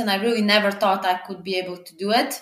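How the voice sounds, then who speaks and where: Noticeable background noise behind a woman whose pitch varies in an ordinary way. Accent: Serbian. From Serbia, small eastern mining village. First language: Serbian. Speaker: traveler. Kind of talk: interview. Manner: halting with fillers.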